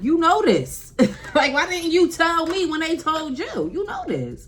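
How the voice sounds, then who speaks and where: Loud and animated, the voice moves at a fairly slow pace over noticeable background noise and audible room echo. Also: woman. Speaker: beauty vlogger. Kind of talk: casual vlog chat to camera. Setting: at home by an open window.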